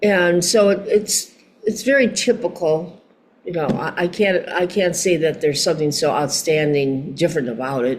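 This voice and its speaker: Lively intonation with an American accent at a moderate pace, set against noticeable background noise. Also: woman, fairly low pitch for a woman. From Chicago, USA. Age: 80s+. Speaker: singer, actress and model. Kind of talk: interview answer.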